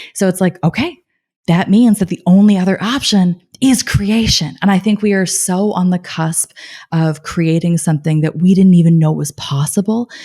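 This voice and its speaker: A woman speaks at medium pitch in a calm tone, dark and mellow. Her voice is somewhat breathy, with ordinary pitch variation. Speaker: life coach and cancer survivor. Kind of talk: podcast interview.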